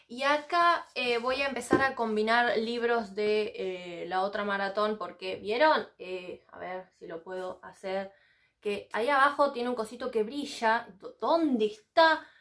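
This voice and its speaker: A high-pitched woman in a Rioplatense accent, with lively intonation at a fairly slow pace, against a quiet background. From Argentina. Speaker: book vlogger. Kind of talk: casual vlog monologue. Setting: sitting on the floor of her home library. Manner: animated. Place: home room. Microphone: camera far.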